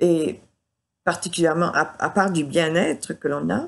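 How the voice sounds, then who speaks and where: This woman's voice sits at a fairly low pitch. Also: quiet background. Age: 70s. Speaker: denture wearer giving a product testimonial. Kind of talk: testimony. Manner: halting, many hesitations.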